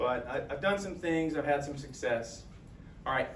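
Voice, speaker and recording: The recording carries audible room echo along with noticeable background noise. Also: man. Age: 50s. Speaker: JROTC instructor and health coach. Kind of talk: presentation to colleagues. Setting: school talk with live audience. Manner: casual, conversational with fillers.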